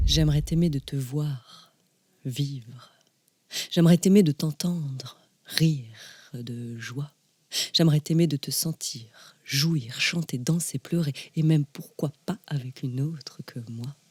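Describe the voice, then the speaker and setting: A woman's very deep, low, somewhat breathy voice at a very slow pace, with ordinary pitch variation, in a dry, close sound with no echo. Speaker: slam poet. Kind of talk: spoken word poetry.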